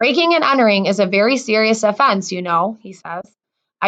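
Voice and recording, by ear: The voice reads aloud naturally. Nothing stirs in the background.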